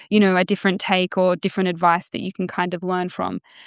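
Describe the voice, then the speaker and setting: Over a quiet background, a woman with an Australian accent speaks at a medium pitch in a monotone, flat intonation. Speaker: author. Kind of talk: podcast interview. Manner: halting, many fillers.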